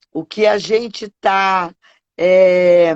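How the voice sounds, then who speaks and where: A woman's voice at a medium pitch. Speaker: event host, celebrant trainer. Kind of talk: interview. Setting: video call. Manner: soft-spoken.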